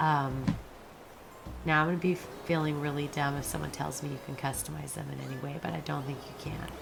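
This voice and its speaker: Fairly quick speech in an American accent, with noticeable background noise and audible room echo. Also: woman. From United States. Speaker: gaming YouTuber. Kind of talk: gameplay commentary. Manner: casual, hesitant with fillers.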